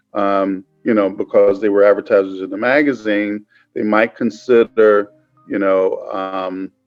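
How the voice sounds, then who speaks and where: Man at a fairly low pitch, fairly slow pace and monotone, flat intonation, with music in the background. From Cleveland, Ohio. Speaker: media company founder. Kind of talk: interview answer.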